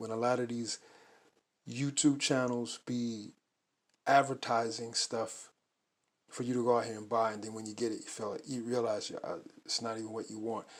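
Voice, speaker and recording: The recording is very clean with a silent background as a man talks at a moderate pace in a medium pitch. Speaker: art book collector YouTuber. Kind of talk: casual show-and-tell video.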